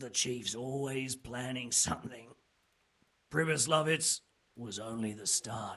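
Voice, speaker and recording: A raspy, put-on character voice moves at a fairly slow pace with ordinary pitch variation. Long, frequent pauses break it up. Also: man, medium pitch for a man. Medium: video game. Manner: coarse, colloquial.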